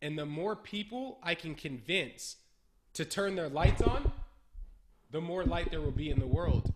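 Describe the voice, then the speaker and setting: With an American accent and a fairly high pitch, a man speaks with lively intonation and long, frequent pauses over noticeable background noise. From California, Bay Area. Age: 20s. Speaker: entrepreneur. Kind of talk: casual interview.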